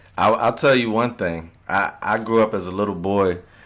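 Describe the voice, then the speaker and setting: In an unremarkable speaking voice, a man with an American accent talks at a moderate pace, fairly low in pitch with ordinary pitch variation. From Virginia, Hampton Roads area. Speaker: podcast co-host. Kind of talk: casual chat.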